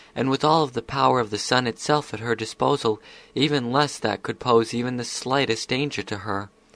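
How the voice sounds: Natural reading aloud, pitch moving an ordinary amount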